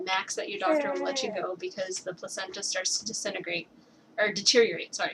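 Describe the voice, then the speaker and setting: A woman with a fairly high pitch talks at a fairly quick pace over noticeable background noise. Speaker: young mother giving advice. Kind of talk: casual video message. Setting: at home with baby on lap. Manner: halting, thinking aloud.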